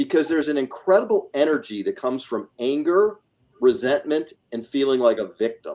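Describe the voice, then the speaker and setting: Speaking at a moderate pace, a man with an ordinary speaking voice uses a fairly high pitch and lively intonation. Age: 60s. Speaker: real estate investor. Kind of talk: panel discussion.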